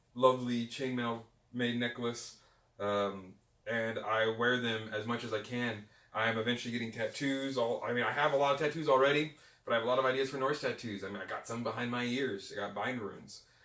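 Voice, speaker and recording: An animated man speaks at a fairly quick pace and medium pitch. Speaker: pagan podcast co-founder. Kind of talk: casual interview chat. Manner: loud, animated.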